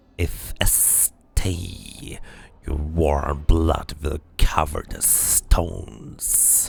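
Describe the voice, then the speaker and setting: A man's put-on character voice, very deep and low, gravelly and growling, with hissing, a menacing tone and a very slow pace. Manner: hissing, snarling, menacing.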